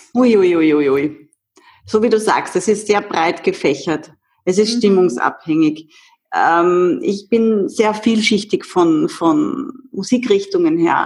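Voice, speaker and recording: Very slow, very widely swinging speech from a woman, her pitch sitting in the middle range. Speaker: movement coach. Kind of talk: interview.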